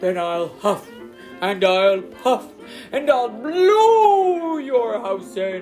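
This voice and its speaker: A put-on character voice, fairly high-pitched and very slow, over clear background music. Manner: roaring, threatening.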